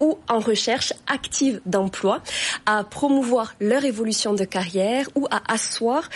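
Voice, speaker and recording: A woman with a slight Toulouse accent speaks at a fairly slow pace, her fairly high pitch showing ordinary variation, with noticeable background noise. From southwest France, Toulouse area. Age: 30s. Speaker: career consultant and author. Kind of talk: TV interview. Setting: TV studio. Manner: formal.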